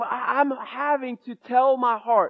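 Talking at a fairly slow pace, a man has an extremely high pitch. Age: 40s. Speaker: pastor. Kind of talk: sermon.

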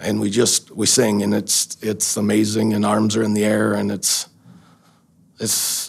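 A fairly low-pitched man with an American accent, vocal fry, monotone, flat intonation and a fairly slow pace. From Wisconsin, US Midwest. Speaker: bar owner, former sheriff's deputy. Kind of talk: testimony.

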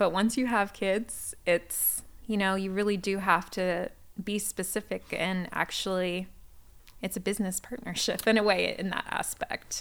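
Using an ordinary speaking voice, a woman talks at a fairly slow pace, her medium pitch carrying fairly even intonation. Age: 30s. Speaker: church member sharing her family story. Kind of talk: casual chat. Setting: church.

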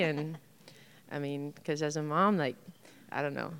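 A woman speaks with a very deep, low pitch. Vocal fry runs through her voice. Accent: American. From Indiana. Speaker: nutrition coach. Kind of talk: panel talk.

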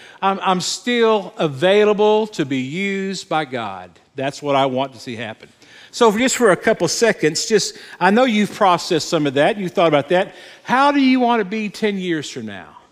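This man has a high pitch with very wide pitch swings, talking at a moderate pace. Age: 60s. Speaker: pastor. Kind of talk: sermon. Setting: church.

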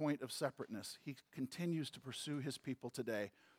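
This man speaks in an American accent with a fairly high pitch and an ordinary speaking voice, recorded with a dry, close sound and no echo. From US Midwest, St. Louis. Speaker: pastor. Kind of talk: sermon.

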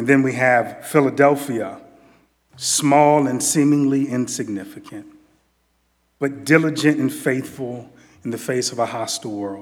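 A man talks at a fairly slow pace with long, frequent pauses. His medium-pitched voice has fairly even intonation. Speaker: preacher. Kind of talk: sermon. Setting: church. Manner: informal, laughing, repeats words.

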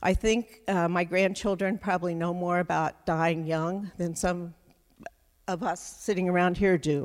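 A woman speaks in an unremarkable speaking voice at a fairly low pitch. Her pace is fairly slow and her intonation fairly even. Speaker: storyteller. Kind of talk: personal storytelling. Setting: stage with audience. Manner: measured, sincere.

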